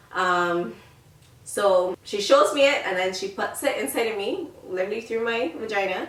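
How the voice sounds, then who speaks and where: With noticeable background noise behind it, the voice keeps a moderate pace and ordinary pitch variation. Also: woman, medium pitch for a woman. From Barbados. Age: 20s. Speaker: lifestyle YouTuber. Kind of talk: casual talk to camera.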